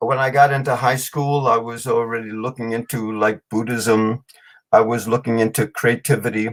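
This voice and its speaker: The speech comes at a moderate pace in a German accent, with monotone, flat intonation. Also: man, medium pitch for a man. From New York City. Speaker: storyteller and author. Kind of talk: podcast interview. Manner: hesitant, many fillers.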